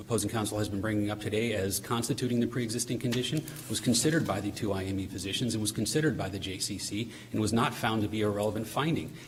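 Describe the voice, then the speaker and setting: Amid audible room echo, a man talks at a very fast pace with a fairly low pitch and fairly even intonation. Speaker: appellate attorney. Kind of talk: oral argument in court. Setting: courtroom. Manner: formal.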